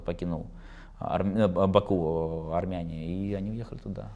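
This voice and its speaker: A man's very deep, low voice, dark and mellow in tone, with ordinary pitch variation. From Russia, Baku Armenian family moved to Russia. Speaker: football commentator and insider; football commentator. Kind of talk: interview. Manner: halting, many fillers. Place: studio. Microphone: lapel.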